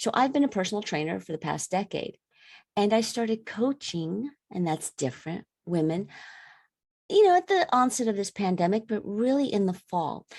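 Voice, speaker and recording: In an ordinary speaking voice with an American accent, the speaker talks at a moderate pace with lively intonation, captured in a very clean recording with a silent background and a dry, close sound with no echo. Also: woman, medium pitch for a woman. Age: 50s. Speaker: women's wellness coach and personal trainer. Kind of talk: podcast interview.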